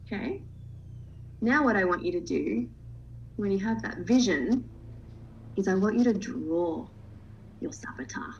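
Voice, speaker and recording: A woman speaks at a fairly slow pace, with long, frequent pauses. Her pitch swings very widely, and the room echo is audible. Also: medium pitch for a woman. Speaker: coach. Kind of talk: online workshop.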